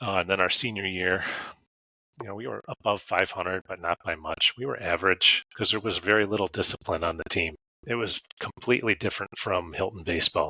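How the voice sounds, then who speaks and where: Very deep and low, this man's voice has a bright, sharp tone and an American accent, recorded dry and close with no echo. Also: ordinary pitch variation, fairly quick pace. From western New York. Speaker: science teacher and coach. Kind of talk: interview conversation. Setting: podcast recording.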